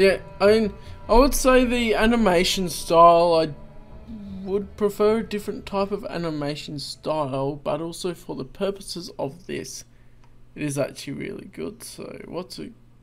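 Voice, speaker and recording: Faint music plays in the background as a man speaks at a moderate pace. His loudness swings widely. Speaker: reaction video host. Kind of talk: casual reaction commentary. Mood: enthusiastic, relaxed. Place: home room.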